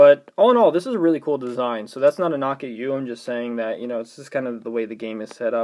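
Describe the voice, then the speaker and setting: A man speaks at a very fast pace with hardly any pauses. His pitch moves with ordinary variation. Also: medium pitch for a man. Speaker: gaming youtuber. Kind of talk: game review commentary. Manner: casual, hesitant with fillers.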